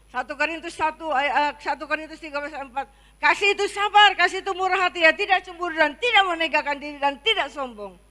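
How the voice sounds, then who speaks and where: A woman's raised, projected voice, bright and sharp in tone, with lively intonation at a very fast pace. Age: 60s. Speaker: pastor. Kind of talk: sermon. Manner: halting.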